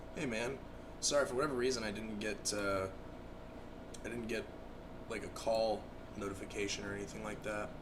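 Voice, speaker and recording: A man at a fairly quick pace with long, frequent pauses and fairly even intonation, amid audible room echo and noticeable background noise. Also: fairly low pitch for a man. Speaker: gaming streamer. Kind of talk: casual chat.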